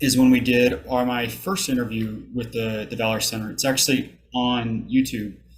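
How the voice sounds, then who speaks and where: In a normal speaking voice, a man talks at a moderate pace and medium pitch with fairly even intonation. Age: 30s. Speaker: army veteran, college student. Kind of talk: public talk to an audience.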